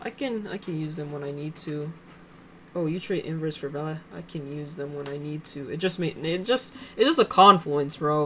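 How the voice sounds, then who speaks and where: A woman with a very deep, low pitch mumbles at a moderate pace, with ordinary pitch variation and big swings in loudness. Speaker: day trader streaming live trades. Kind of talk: live trading commentary. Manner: casual, halting with fillers; mumbling to herself.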